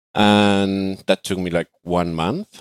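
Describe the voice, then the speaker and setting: In a Spanish accent, a man speaks with a very deep, low pitch and fairly even intonation, in a dry, close recording that is very clean, with no echo and a silent background. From Argentina. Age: 20s. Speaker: digital nomad. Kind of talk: podcast interview. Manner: hesitant, many fillers.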